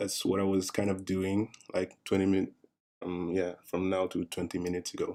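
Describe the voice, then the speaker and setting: Speaking at a moderate pace with a French accent, this man has a very deep, low pitch, a dark, mellow tone and monotone, flat intonation. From France. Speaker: artist streaming a drawing session. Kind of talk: live stream chat. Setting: live stream. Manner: hesitant. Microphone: monitor's built-in mic, far away.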